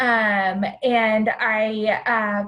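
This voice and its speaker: A woman's fairly high voice keeps a fairly even intonation. Audible room echo surrounds it. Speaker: presenter on downtown community spaces. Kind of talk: virtual conference presentation. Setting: video call.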